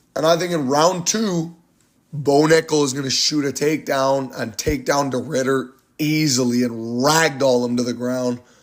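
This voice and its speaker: A very clean recording with a silent background, featuring an unremarkable speaking voice, a moderate pace and ordinary pitch variation. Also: man, fairly high pitch for a man. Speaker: MMA YouTuber giving fight predictions. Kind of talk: casual fight breakdown monologue.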